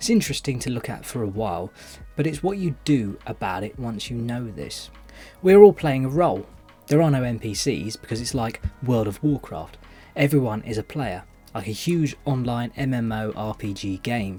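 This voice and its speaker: Over music in the background, a man with a British accent talks at a moderate pace and medium pitch, using lively intonation. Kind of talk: voice-over commentary.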